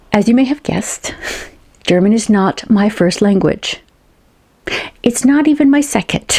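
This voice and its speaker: A woman with an American accent speaks at a moderate pace in a somewhat breathy, dark, mellow voice of fairly high pitch, her intonation lively, her loudness very even, and her pauses long and frequent. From United States. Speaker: science fiction author and booktuber. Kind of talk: casual vlog talk to camera. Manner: conversational, some hesitations and repeats.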